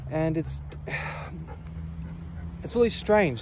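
A man speaks very slowly. The sound is dry with no echo, though there is noticeable background noise. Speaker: vlogger. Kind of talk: casual vlog chat. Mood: reflective, a little sad. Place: street. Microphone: earbuds.

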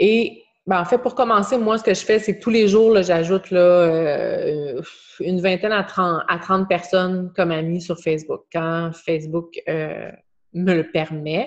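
A woman talks very slowly in a Quebec accent. Her pitch varies in an ordinary way. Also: quiet background. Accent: Québécois French. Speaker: online fitness coach. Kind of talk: group coaching video call. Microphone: video call.

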